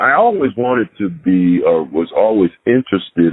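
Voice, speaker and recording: Moderate-paced speech from a man. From Panama. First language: Spanish. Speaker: retired FBI agent. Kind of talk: interview. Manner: halting, with fillers.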